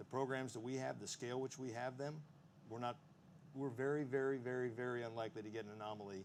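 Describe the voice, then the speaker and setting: In a Texan accent, the speech races at a very fast pace with ordinary pitch variation. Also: man. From Texas. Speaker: Marine Corps officer on defense panel. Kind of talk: panel discussion answer.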